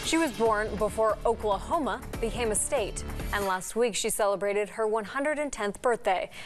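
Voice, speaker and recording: Over music in the background, a woman speaks at a moderate pace with a fairly high pitch, ordinary pitch variation and very even loudness. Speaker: TV news anchor. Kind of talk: news anchor intro.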